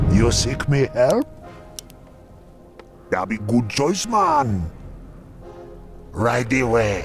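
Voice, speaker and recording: A man puts on a character voice at a medium pitch and a very slow pace. Clear music plays in the background. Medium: machinima. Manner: laid-back, broken grammar.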